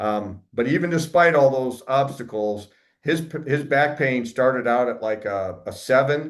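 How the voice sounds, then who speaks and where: Fairly slow speech from a man in a plain, everyday voice, medium in pitch with ordinary pitch variation. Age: 50s. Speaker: wellness practitioner, army veteran. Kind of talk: presentation. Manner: conversational, with fillers.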